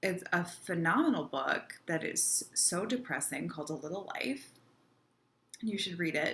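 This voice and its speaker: A fairly low-pitched woman at a fairly slow pace, her intonation lively. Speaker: vlogger. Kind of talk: casual vlog monologue. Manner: halting, many fillers.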